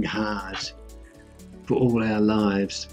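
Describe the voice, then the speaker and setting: A man speaking at a fairly slow pace, faint music in the background. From New Zealand. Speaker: personal finance YouTuber. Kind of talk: casual talk to camera. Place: home room.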